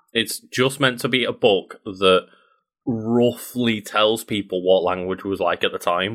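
An unremarkable speaking voice, a man at medium pitch talks at a fairly slow pace with fairly even intonation. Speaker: podcast host. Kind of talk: casual chat.

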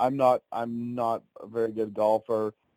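Medium-pitched male voice with a dark, mellow tone and a Canadian accent, dry and close with no echo, on a very clean recording with a silent background. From Ontario, Canada. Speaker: country singer-songwriter. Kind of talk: casual interview.

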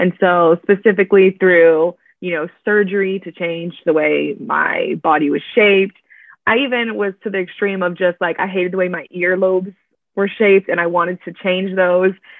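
A woman with an American accent speaks at a moderate pace and medium pitch in an ordinary speaking voice. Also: fairly even intonation. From Miami, Florida. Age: 20s. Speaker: church events coordinator. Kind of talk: casual interview.

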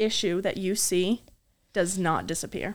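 Over a very clean recording with a silent background, a woman of medium pitch talks at a moderate pace. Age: 20s. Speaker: podcast co-host. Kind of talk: casual chat.

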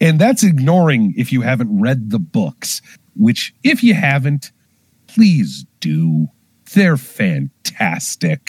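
Very slowly, a man speaks at a medium pitch, somewhat breathy, with very wide pitch swings and a dry, close sound with no echo. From rural area. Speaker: film podcast co-host. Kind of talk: casual chat.

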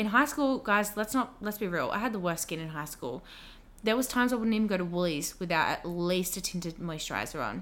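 At a fairly quick pace, a woman speaks with an Australian accent. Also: medium pitch for a woman, lively intonation. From Australia, Wollongong. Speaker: beauty and dermal therapist. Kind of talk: casual chat.

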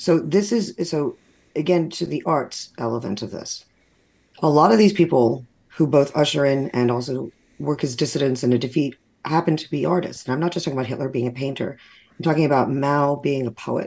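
With an American accent, a woman talks at a fairly quick pace in a very deep, low pitch. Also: ordinary pitch variation. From New York. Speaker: poet and playwright. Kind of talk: interview.

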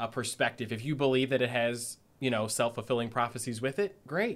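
A man with a Midwestern American accent speaks at a fairly quick pace and medium pitch, with ordinary pitch variation. The recording is very clean, with a silent background. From Northeast Ohio. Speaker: life coach and tarot reader. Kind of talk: casual interview.

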